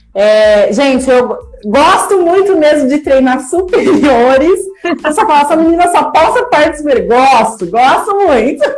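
A woman speaks at a fairly slow pace in a high voice. Room echo is audible. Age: 30s. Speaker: educational psychologist sharing weight-loss story. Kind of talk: casual chat. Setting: live stream. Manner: animated.

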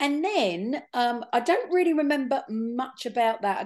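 A woman's voice in an English accent with very wide pitch swings, against a quiet background. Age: 50s. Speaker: podcast co-host. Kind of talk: casual chat. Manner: animated.

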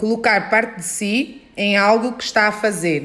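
Noticeable background noise accompanies a woman speaking at a moderate pace and a medium pitch. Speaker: podcast host. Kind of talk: casual interview chat. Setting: guest's dance studio.

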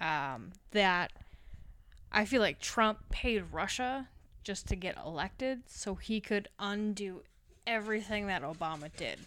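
The voice has a bright, sharp tone and an Upper Midwest accent. It moves at a fairly slow pace. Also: woman, medium pitch for a woman, lively intonation, very clean recording, silent background. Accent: Upper Midwest American. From Wisconsin, US Midwest. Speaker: podcast host. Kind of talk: casual chat.

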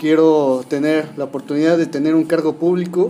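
With music in the background, a man talks at a moderate pace in a high pitch. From Mexico, Hidalgo. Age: 20s. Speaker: youth politician, political scientist. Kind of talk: casual interview.

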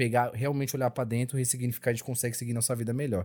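A man talks at a medium pitch. The recording is very clean, the background silent. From São Paulo (Capão Redondo), born in Bahia. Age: 20s. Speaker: podcast panelist. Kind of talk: casual chat.

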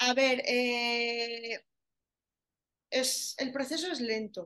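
Very slowly and with long, frequent pauses, a woman speaks with an Aragonese accent in a high, bright, sharp voice. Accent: Aragonese Spanish, still noticeable. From Spain, Zaragoza (Aragon). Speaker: tattoo artist specialising in areola reconstruction. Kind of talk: casual interview.

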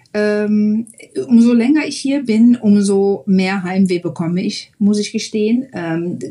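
A woman at a very slow pace with hardly any pauses, somewhat breathy, her pitch varying in an ordinary way. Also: fairly high pitch for a woman. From Germany, Mönchengladbach (Lower Rhine). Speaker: German expat in the US. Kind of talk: interview.

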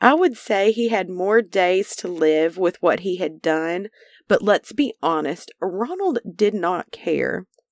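A woman with an Arkansas accent, medium pitch, ordinary pitch variation and a very slow pace, in a very clean recording with a silent background and a dry, close sound with no echo. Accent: Southern US (Arkansas). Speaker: true crime podcast host. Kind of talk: true crime narration.

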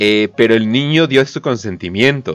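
A man with a Mexican accent speaks in an animated tone at a moderate pace and medium pitch over a quiet background. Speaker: streamer and podcast host. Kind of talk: casual chat.

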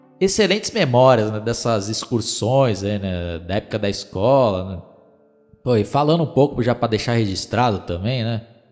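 This man has a normal speaking voice and a moderate pace. His intonation is lively. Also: medium pitch for a man. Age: 30s. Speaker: podcaster. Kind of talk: casual nostalgic storytelling monologue.

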